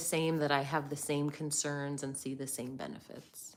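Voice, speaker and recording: A woman talks at a moderate pace in an American accent. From United States. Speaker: livestream host on leaving religion. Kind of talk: live chat reading viewer comments. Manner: hesitant, many fillers.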